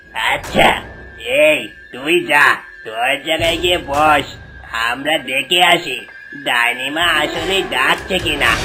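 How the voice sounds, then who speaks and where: A cartoonish character voice speaks at middle pitch and a fairly slow pace. Clear background noise runs underneath. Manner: rough, bullying.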